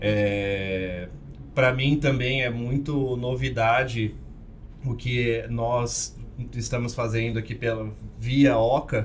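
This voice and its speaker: Audible room echo surrounds a man speaking at a very slow pace. He leaves long, frequent pauses, and his intonation stays fairly even. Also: medium pitch for a man. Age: 20s. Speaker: co-host of a table tennis podcast. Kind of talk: casual podcast chat.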